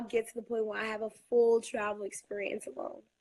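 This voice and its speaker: A woman talks at a fairly quick pace in a fairly high pitch, with an unremarkable speaking voice. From US Northeast, Brooklyn New York. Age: 20s. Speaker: high school teacher. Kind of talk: interview conversation.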